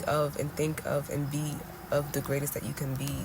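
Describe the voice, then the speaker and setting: Noticeable background noise is present. The speaking pace is fairly slow. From Senegalese Fulani background, raised around English. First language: Fulani. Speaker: tarot reader. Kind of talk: tarot reading monologue. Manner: casual, repetitive with self-corrections.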